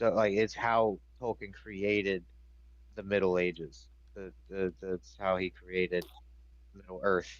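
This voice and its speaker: A man with a very deep, low voice talks at a very slow pace with ordinary pitch variation and long, frequent pauses. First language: French. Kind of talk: casual chat.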